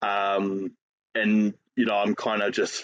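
A man talks with a New Zealand accent. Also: dry, close sound with no echo. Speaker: fitness coach and powerlifter. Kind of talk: casual chat.

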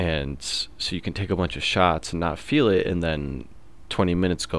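A man with very deep, low pitch and vocal fry talks at a moderate pace with ordinary pitch variation. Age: 20s. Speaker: podcast host. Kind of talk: casual monologue.

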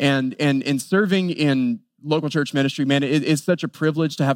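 A man with a normal speaking voice at a fairly quick pace, fairly even intonation, and a very clean recording with a silent background. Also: dry, close sound with no echo. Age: 30s. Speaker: pastor. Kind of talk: sermon.

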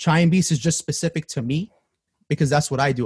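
A man's fairly high, somewhat breathy voice with an American accent, dry and close with no echo, on a very clean recording with a silent background. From Queens, New York. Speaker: music producer. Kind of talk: casual chat.

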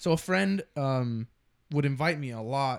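With an American accent, a man speaks in a fairly high pitch with ordinary pitch variation and an unremarkable speaking voice. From Texas. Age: young. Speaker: podcast co-host. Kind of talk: casual chat.

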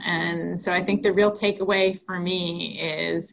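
A woman with an American accent speaks at a fairly slow pace with vocal fry. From Wisconsin (Green Bay). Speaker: college athletics conference commissioner. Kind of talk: interview.

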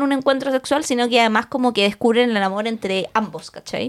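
A high-pitched woman's voice at a fairly quick pace, with ordinary pitch variation. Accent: Chilean. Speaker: podcast co-host. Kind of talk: casual chat.

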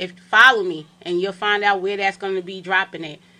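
A woman speaks with a New York accent. Her tone is bright and sharp. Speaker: film director. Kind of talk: interview. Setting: studio.

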